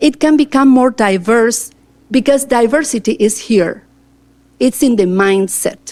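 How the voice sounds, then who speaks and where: A woman with an Argentine accent speaks at a fairly slow pace in a fairly high pitch, with ordinary pitch variation and very even loudness. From Argentina, Cordoba. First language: Spanish. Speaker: teacher and school board candidate. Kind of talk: interview answers at public board meeting. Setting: board meeting with microphone. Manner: talkative.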